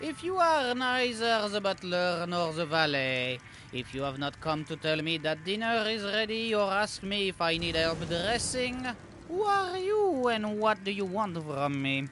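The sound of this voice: A put-on character voice with a bright, sharp tone, big pitch swings and a fairly slow pace, over faint music in the background. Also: man, high pitch for a man.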